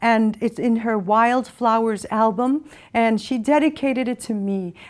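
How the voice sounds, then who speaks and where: A woman with an unremarkable speaking voice, fairly high in pitch, with fairly even intonation and a fairly slow pace, in a very clean recording with a silent background. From Massachusetts (Springfield), Puerto Rican family. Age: 60s. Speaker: poet and performer. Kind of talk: poetry reading with personal commentary. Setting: studio.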